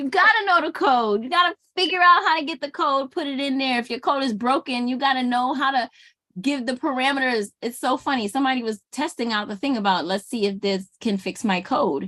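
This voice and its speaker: A woman with an American accent speaks at a fairly quick pace in a raised, projected voice, high-pitched with a bright, sharp tone and lively intonation. There are hardly any pauses, and the sound is dry and close with no echo against a quiet background. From Brooklyn, New York, Jamaican family. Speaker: small business consultant and YouTuber. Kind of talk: casual talk-to-camera commentary. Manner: animated, conversational with many fillers and repeats.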